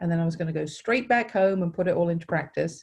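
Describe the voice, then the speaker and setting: A woman with a British accent has a dark, mellow tone and a fairly low pitch. Her intonation is lively and her voice somewhat breathy. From England, Suffolk. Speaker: nonprofit director, former teacher. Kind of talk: interview. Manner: hesitant fillers.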